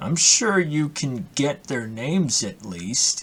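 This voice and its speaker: In a put-on character voice, a man speaks at a fairly slow pace and a fairly high pitch, with very wide pitch swings. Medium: game stream.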